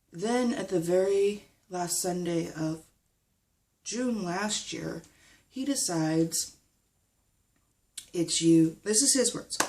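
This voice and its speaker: A woman with a dark, mellow tone and a medium pitch speaks very slowly, leaving long, frequent pauses. Her intonation is lively. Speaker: vlogger. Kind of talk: personal vlog update. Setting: recording at home. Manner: halting.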